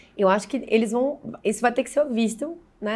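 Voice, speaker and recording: A woman with a normal speaking voice talks at a fairly quick pace and a fairly high pitch, with ordinary pitch variation. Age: 40s. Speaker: digital marketing specialist. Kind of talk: podcast interview. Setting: bar.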